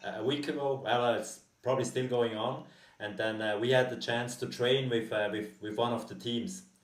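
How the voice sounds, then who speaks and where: A man with a German accent speaks at medium pitch and a moderate pace. His intonation stays fairly even, and audible room echo surrounds him. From Costa Rica. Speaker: podcast host. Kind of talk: interview. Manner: hesitant.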